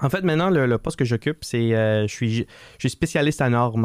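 In a normal speaking voice at a fairly quick pace with ordinary pitch variation, the speaker is heard in a very clean recording with a silent background and a dry, close sound with no echo. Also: man. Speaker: assistance dog foundation co-founder. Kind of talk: interview.

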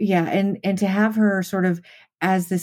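Her intonation fairly even, a woman with an American accent speaks in a dark, mellow tone. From Las Vegas, US. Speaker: film writer. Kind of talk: casual chat. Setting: remote call.

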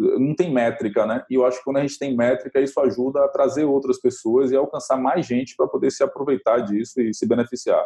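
There are hardly any pauses. A man's speech moves at a fairly quick pace. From Bahia, Brazil (rural area near Salvador). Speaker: brand designer. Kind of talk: interview.

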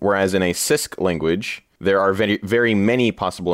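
A man with a normal speaking voice talks at a moderate pace with a fairly low pitch and ordinary pitch variation on a very clean recording with a silent background. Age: 20s. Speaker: coding camp instructor and engineer. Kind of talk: casual chat.

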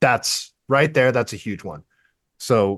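A man with an American accent at a moderate pace, ordinary pitch variation, dry close sound without echo. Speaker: political candidate and tradesman. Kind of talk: radio interview. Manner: animated.

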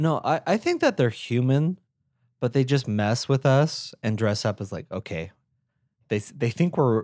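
At a fairly slow pace, a man with a medium pitch and lively intonation speaks in a plain, everyday voice, on a very clean recording with a silent background. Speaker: podcast co-host. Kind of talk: casual chat.

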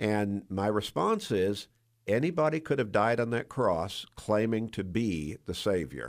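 A man speaks in a normal speaking voice with an American accent, fairly low in pitch and at a fairly slow pace, on a very clean recording with a silent background. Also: lively intonation. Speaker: church pastor. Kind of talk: Bible discussion interview. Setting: radio studio.

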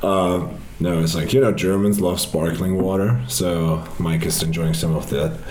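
A man with a very deep, low pitch speaks at a moderate pace. His pitch varies in an ordinary way, and there is noticeable background noise. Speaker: festival organizer. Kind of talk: casual chat. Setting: face to face in Cologne.

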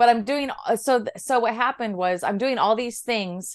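A woman's unremarkable speaking voice, moderate in pace with ordinary pitch variation, over a quiet background. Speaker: breathwork teacher. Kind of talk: casual chat.

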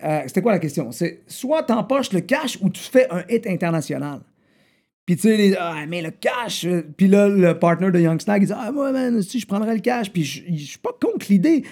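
Speaking at a moderate pace, a man uses a high pitch and a dark, mellow tone. His intonation is lively. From Quebec City south shore, Canada. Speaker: rapper. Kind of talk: casual interview.

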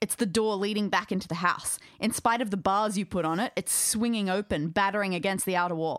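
A clip of reading aloud in a natural voice

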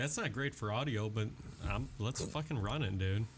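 A man's somewhat breathy voice at a fairly quick pace, with ordinary pitch variation. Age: 30s. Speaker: podcast host. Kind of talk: casual chat.

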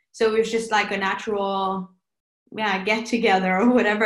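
A woman speaks fairly quickly with a Norwegian accent. Her intonation is monotone and flat. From Norway. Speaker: pop singer. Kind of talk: casual interview. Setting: remote call from home.

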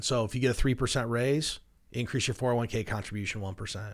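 A man talks at a fairly quick pace with ordinary pitch variation, in an unremarkable speaking voice. The recording is very clean, with a silent background. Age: 40s. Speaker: financial advisor, radio show host. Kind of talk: casual chat about personal finance. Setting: studio.

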